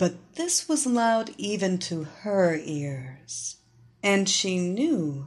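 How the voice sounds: The clip carries a natural reading voice. The pitch moves in a lively way.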